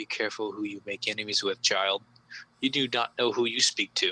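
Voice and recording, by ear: A man performs a put-on character voice at a fairly low pitch. He moves at a fairly quick pace.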